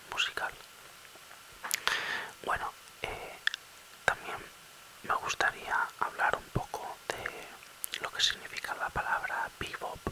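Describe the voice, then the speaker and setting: A man whispering very slowly, with long, frequent pauses and noticeable background noise. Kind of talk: ASMR whisper talk about jazz. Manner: whispered, soft-spoken.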